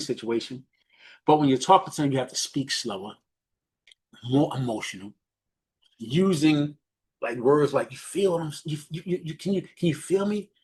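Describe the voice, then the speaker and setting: Over a quiet background, a man with a New York accent speaks in a somewhat breathy, fairly high voice with ordinary pitch variation. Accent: New York City (Bronx). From New York, the Bronx. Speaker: business mentor. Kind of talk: coaching talk on a group call. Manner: fast talker.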